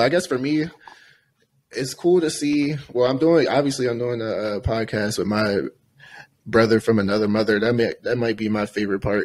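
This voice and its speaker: The speaker talks at a moderate pace with ordinary pitch variation. There are long, frequent pauses. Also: man. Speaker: podcast co-host. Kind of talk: casual chat. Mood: relaxed, friendly. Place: home room. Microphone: studio mic.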